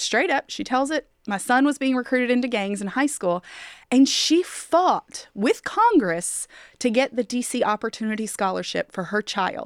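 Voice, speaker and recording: An unremarkable speaking voice from a woman, fairly high in pitch, with lively intonation at a fairly slow pace, in a very clean recording with a silent background and a dry, close sound with no echo. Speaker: education policy advocate. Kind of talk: casual podcast interview. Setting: studio.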